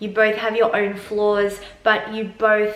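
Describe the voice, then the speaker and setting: A woman with an Australian accent speaks at a fairly high pitch, with audible room echo and noticeable background noise. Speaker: self-help vlogger. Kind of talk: advice monologue. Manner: conversational.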